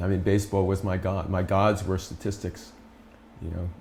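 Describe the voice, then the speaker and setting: This man's pitch is very deep and low. His voice is somewhat breathy. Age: 60s. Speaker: spiritual teacher. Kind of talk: casual chat. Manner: animated.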